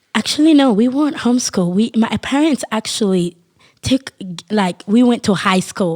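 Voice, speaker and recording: The sound is dry and close, with no echo. A woman with a Haitian accent speaks at a fairly high pitch. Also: moderate pace. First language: Haitian Creole. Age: 20s. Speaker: podcast guest. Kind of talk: testimony. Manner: halting.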